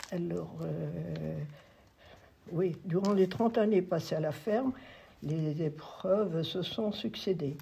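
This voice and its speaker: Taking long, frequent pauses, a woman speaks at a very slow pace. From France, Sarthe. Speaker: former schoolteacher and farmer. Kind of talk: testimony. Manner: halting.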